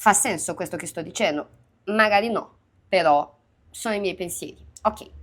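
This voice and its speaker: In a very clean recording with a silent background, a woman of medium pitch speaks at a moderate pace with long, frequent pauses, big swings in loudness, and ordinary pitch variation. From Minas Gerais, Brazil. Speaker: youtuber. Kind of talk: casual multilingual vlog. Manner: hesitant, many fillers in foreign languages.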